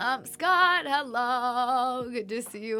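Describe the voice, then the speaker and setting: With music in the background, a woman speaks in a fairly high voice. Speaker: streamer. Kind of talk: casual chat. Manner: lower energy.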